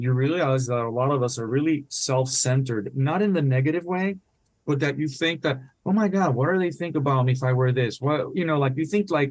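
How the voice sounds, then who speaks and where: A man with a Spanish accent talks at a fairly quick pace with a fairly high pitch. His loudness is very even, and his pitch variation is ordinary. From Puerto Rico. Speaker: retired naval officer and author. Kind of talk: podcast interview.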